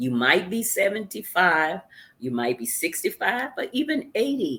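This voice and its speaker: With vocal fry and a medium pitch, a woman speaks at a fairly slow pace, her pitch swinging very widely. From US South, Memphis, Tennessee. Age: 70s. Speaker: author. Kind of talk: interview.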